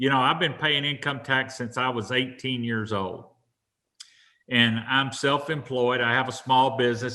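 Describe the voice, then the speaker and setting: A man with an American accent talks at a moderate pace in a medium pitch. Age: 60s. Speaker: farmer and congressional candidate. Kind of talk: interview.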